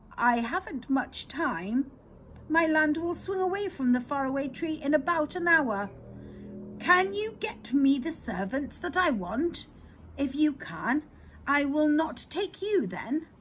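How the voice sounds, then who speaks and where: A woman's high, put-on character voice at a fairly slow pace, with clear background noise. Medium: read story. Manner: slow, lordly.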